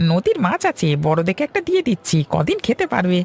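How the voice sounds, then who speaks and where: Using a cartoonish character voice pitched high for a man, he speaks at a very even loudness, with a dry, close sound and no echo. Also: moderate pace. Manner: easygoing, folksy.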